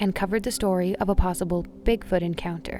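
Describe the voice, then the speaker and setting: A woman talks in a normal speaking voice. Her pitch sits at medium with ordinary variation. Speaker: radio show host, narrator. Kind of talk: mystery radio show narration, scary stories.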